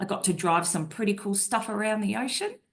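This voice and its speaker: A woman with an Australian accent talks at a fairly quick pace with ordinary pitch variation. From Australia (Brisbane). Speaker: naval officer and risk advisory director. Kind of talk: interview.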